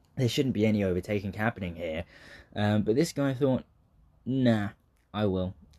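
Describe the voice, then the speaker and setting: Speaking in a southern English accent, a man has a dark, mellow tone and a fairly low pitch. He talks at a moderate pace against a quiet background. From southeast England. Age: 20s. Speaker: aspiring comedian and acting student. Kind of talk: casual solo monologue. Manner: hesitant, many fillers.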